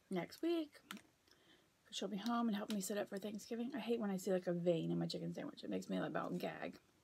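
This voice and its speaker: A woman speaks at a very fast pace. Light background noise can be heard. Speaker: vlogger. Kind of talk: casual mukbang vlog chat. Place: home room. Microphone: phone near.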